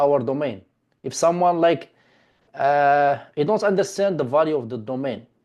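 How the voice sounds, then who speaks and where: A man speaks with a non-native accent at a fairly high pitch. The background is quiet. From Morocco. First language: not English. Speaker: domain investing teacher. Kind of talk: online class session.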